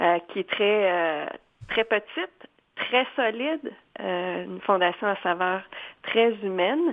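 Her pitch is medium for a woman, and she uses ordinary pitch variation. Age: 40s. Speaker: foundation director, former TV news anchor. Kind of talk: interview. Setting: phone call. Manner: animated.

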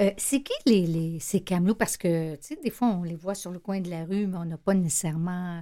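A woman with a Quebec accent and a dark, mellow tone speaks at medium pitch and a moderate pace, with ordinary pitch variation and hardly any pauses, on a very clean recording with a silent background. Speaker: radio host and shelter director. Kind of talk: radio interview. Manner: casual, hesitant with fillers.

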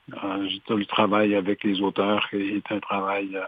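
This is a man talking. His pitch is fairly low. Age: 70s. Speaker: retired media executive turned entrepreneur and author. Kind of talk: interview.

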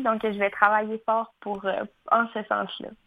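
A woman with a normal speaking voice talks at a moderate pace, her pitch fairly high. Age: 20s. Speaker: fashion designer and entrepreneur. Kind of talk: radio interview.

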